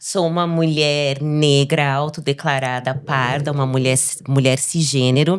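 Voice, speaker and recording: This woman's voice is very deep and low. It varies in pitch in an ordinary way. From Brazil, Osasco periphery, São Paulo. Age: 40s. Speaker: researcher and university professor. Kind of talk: interview.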